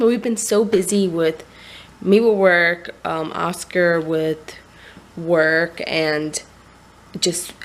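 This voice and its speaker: With ordinary pitch variation and a fairly low pitch, a woman talks at a very slow pace, leaving long, frequent pauses. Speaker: vlogger and new mother. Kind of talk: casual vlog. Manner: hesitant, many fillers.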